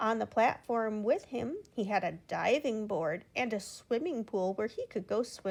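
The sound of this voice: Lively intonation runs through the unforced reading voice.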